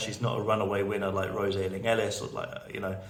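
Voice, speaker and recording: A man with a British accent talks at a fairly quick pace. Noticeable background noise and audible room echo fill the recording. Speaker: TV betting analyst, video blogger. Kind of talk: casual video commentary. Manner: halting, repeated words.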